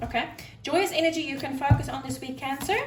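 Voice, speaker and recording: A woman with a fairly high pitch and an animated tone speaks amid noticeable background noise and audible room echo. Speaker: tarot reader. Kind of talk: tarot reading monologue. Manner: loud.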